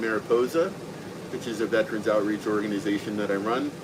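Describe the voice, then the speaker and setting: Medium-pitched male voice with fairly even intonation over noticeable background noise. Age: 60s. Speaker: veterans outreach organizer. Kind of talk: casual chat.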